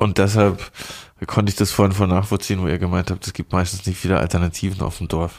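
In a monotone, flat way, a man with a very deep, low pitch talks at a very fast pace. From southern Baden, near Basel. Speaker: podcast host. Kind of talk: casual chat. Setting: studio.

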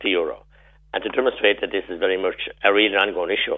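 The speaker is a man. He has a Tipperary accent. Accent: Irish, Tipperary. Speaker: politician. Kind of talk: radio interview. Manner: animated.

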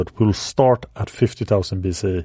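A man with a non-native accent and a fairly low, dark, mellow voice at a moderate pace, with fairly even intonation, a dry, close sound with no echo, and a quiet background. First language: not English. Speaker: history podcast host. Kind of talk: scripted narration.

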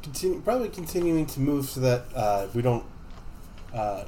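A man with a normal speaking voice talks at medium pitch and a moderate pace. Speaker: tabletop game player. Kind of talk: tabletop roleplaying podcast, in-character and banter.

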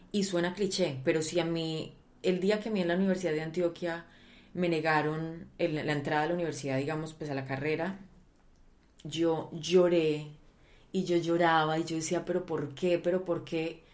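A woman with a fairly low pitch speaks at a moderate pace in a monotone, flat way, with audible room echo. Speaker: actress. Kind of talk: interview. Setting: home recording.

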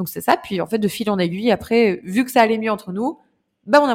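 At a very fast pace, a woman speaks with a fairly high pitch and ordinary pitch variation. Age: 20s. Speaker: entrepreneur and speaker. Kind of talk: casual interview.

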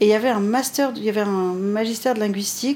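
At a fairly quick pace, a woman talks in a fairly high pitch with fairly even intonation over noticeable background noise. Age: 50s. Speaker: pastry chef and restaurant owner. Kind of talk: interview conversation.

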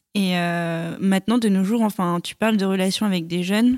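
An unremarkable speaking voice from a woman at medium pitch, moderate pace and fairly even intonation, in a dry, close sound with no echo on a very clean recording with a silent background. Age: 20s. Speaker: nurse, podcast guest. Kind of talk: casual chat.

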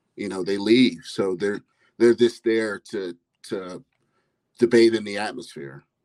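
In a Midwestern accent, a man talks fairly slowly at a fairly low pitch, with ordinary pitch variation and long, frequent pauses. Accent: American Midwest. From US (Ohio). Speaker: phone-in caller, football fan. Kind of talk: casual phone-in chat.

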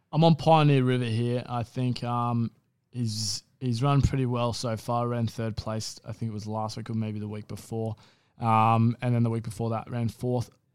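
The very clean recording, with a silent background, captures a man at a medium pitch and moderate pace whose intonation is monotone and flat. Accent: Australian. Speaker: racing podcast co-host. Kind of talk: casual racing analysis chat. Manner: flat, low-energy delivery.

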